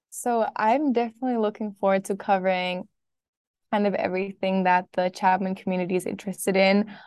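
With a German accent, a woman talks at a fairly quick pace and a medium pitch, her loudness very even and intonation fairly even, over a quiet background. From Berlin, Germany. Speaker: student podcast editor. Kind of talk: casual interview.

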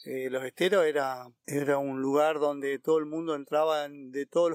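The recording is dry and close, with no echo. A man speaks at a moderate pace in a fairly high pitch with monotone, flat intonation. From Argentina, Corrientes (Iberá wetlands). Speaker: park ranger. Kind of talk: interview. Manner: halting, many fillers.

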